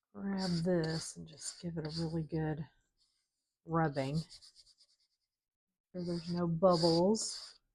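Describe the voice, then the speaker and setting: The voice is somewhat breathy, with fairly even intonation and big swings in loudness. It moves at a very slow pace with long, frequent pauses. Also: woman, fairly low pitch for a woman. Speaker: craft youtuber. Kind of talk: tutorial. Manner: casual, thinking aloud.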